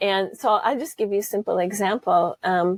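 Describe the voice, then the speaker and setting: A woman with an American accent and a plain, everyday voice speaks at a fairly slow pace and medium pitch, with ordinary pitch variation and a dry, close sound with no echo. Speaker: holistic management trainer. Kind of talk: interview.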